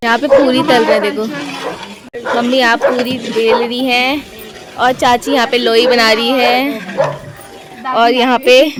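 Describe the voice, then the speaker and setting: Noticeable background noise can be heard. A woman with a high pitch speaks with fairly even intonation. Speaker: vlogger. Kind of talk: casual vlog narration.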